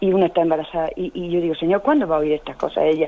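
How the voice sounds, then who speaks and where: This woman speaks with a fairly low pitch. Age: 60s. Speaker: caller. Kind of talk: phone-in call. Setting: phone call. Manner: halting.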